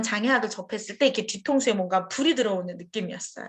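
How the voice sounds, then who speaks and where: This woman talks at a very fast pace. Her voice is somewhat breathy and fairly high in pitch. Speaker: professor. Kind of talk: lecture. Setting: forum with audience.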